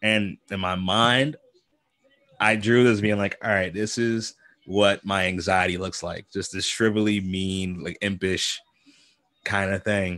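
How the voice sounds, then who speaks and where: Against a quiet background, a man with a fairly low pitch talks at a fairly slow pace with fairly even intonation. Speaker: comic artist and streamer; comic artist, streamer. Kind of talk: casual livestream chat while drawing. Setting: home studio livestream. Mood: relaxed, laughing, storytelling. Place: home room. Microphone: studio mic.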